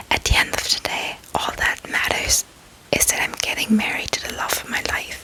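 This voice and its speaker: Noticeable background noise sits under a woman's whisper, which moves at a moderate pace. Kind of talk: ASMR whisper ramble. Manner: whispered, soft-spoken, calming.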